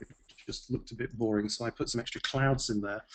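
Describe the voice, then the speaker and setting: A man speaks with a British accent. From England. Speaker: software expert. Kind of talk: software demonstration.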